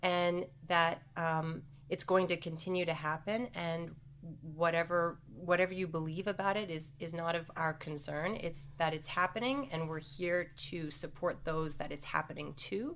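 In a plain, everyday voice, a woman speaks at a fairly low pitch and a moderate pace with ordinary pitch variation. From Canada. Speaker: former professional dancer, women's health center co-founder. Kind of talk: interview.

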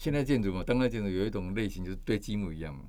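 Audible room echo surrounds a man speaking in a dark, mellow tone. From Taiwan, Kaohsiung. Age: 60s. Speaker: architect and author. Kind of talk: interview.

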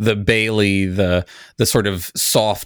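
Speaking with an American accent, a man with a fairly low pitch talks at a fairly slow pace with fairly even intonation in a plain, everyday voice, on a very clean recording with a silent background. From United States. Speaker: podcast host, guest. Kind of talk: casual chat.

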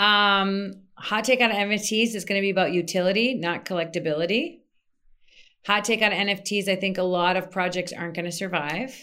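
A woman talks at a fairly quick pace, medium in pitch with ordinary pitch variation and a bright, sharp tone. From US Midwest, Minnesota. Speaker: PR consultant. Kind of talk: interview.

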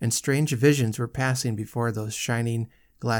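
Fairly even intonation runs through an unforced reading voice.

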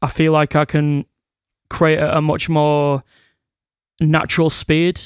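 A man's fairly high-pitched, monotone, flat voice in a very clean, dry, close recording with no echo and a silent background. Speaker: musician in a band, singer. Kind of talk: casual interview.

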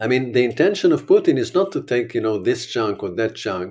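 The speaker has an Israeli accent. The recording is very clean, with a silent background. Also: man. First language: Hebrew. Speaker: war correspondent and documentary filmmaker. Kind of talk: interview.

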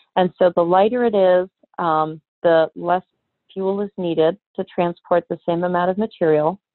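A plain, everyday voice from a woman, fairly low in pitch, with fairly even intonation at a moderate pace. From Canada, with childhood years in Europe. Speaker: scientist and beauty company founder. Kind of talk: interview.

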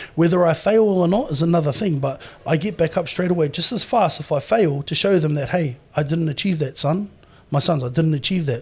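On a very clean recording with a silent background, a man with a New Zealand accent talks very fast in a fairly high pitch with ordinary pitch variation. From New Zealand, Māori. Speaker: professional strongman. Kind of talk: casual interview chat. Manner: animated.

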